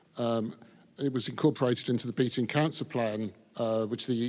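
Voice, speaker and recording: A man's medium-pitched voice in an English accent, at a moderate pace with fairly even intonation. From England. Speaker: men's health advocate. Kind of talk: panel discussion.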